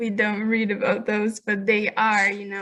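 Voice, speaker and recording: A woman in a Russian accent speaks at a fairly slow pace and a fairly high pitch. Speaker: audience member asking questions. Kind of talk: Q&A question. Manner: halting, hesitant.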